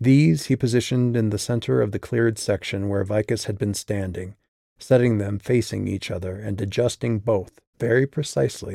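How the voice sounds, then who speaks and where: A man's fairly low, dark, mellow voice at a moderate pace with ordinary pitch variation, in a dry, close sound with no echo. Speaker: author narrating own audiobook. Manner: measured, suspenseful storytelling pace; shifts into character voices for quoted dialogue.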